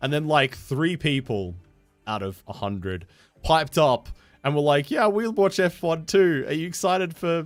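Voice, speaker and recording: Music plays in the background as a man with an Australian accent talks at a moderate pace. His fairly high voice has an animated tone and very wide pitch swings. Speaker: game streamer. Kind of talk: casual chat.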